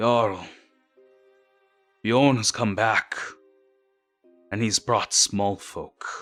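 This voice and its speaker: A man's put-on character voice at medium pitch, very slow and with long, frequent pauses, over faint background music. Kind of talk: low, hushed. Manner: reverent.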